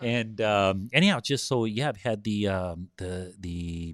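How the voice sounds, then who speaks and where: In a very clean recording with a silent background, a man speaks with a Spanish accent. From US, Southern California (born in Mexico). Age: 50s. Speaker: businessman and builder, former medical worker. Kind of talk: podcast interview. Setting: recorded podcast session. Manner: hesitant, many fillers.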